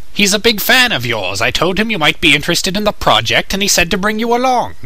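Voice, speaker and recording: A man's put-on character voice, high-pitched and delivered at a very fast pace. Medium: dub. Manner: eager, persuasive.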